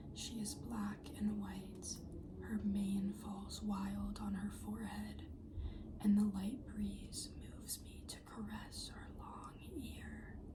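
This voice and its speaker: Soft-spoken and whispering, the speaker goes at a very slow pace over noticeable background noise. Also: woman. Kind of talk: poetry reading. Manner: whispered, soft-spoken.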